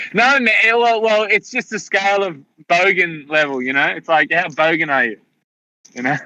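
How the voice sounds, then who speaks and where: A man with an Australian accent and a high, bright, sharp voice swings his pitch very widely at a moderate pace, leaving long, frequent pauses in a dry, close sound with no echo. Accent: Australian, fairly broad. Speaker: livestream participant. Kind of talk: casual chat. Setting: livestream. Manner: not softly spoken.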